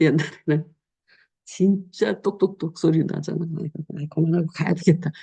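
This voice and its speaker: A woman speaks at a fairly low pitch with a dark, mellow tone. Her voice is somewhat breathy, and her pace is fairly quick. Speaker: pastor. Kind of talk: sermon. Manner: casual, conversational preaching.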